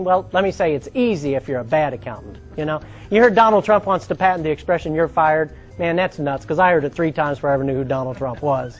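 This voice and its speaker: Over music in the background, a man with fairly high pitch speaks with lively intonation. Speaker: stand-up comedian. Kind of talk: stand-up comedy set with host intro. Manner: conversational, storytelling, punchline delivery.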